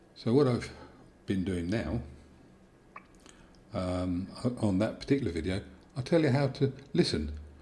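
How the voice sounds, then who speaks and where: A man with a British accent talks at a moderate pace, his voice somewhat breathy. His pitch swings very widely. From Britain. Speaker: YouTuber, tape deck repair. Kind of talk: casual live stream chat. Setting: vertical live stream. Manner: halting, thinking aloud.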